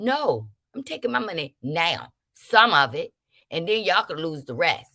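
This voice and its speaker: Her voice sits fairly low for a woman, with a bright, sharp tone and an animated delivery at a moderate pace. Both pitch and loudness swing widely, the pitch very much so. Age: 50s. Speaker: livestream host. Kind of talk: casual livestream talk reading chat comments.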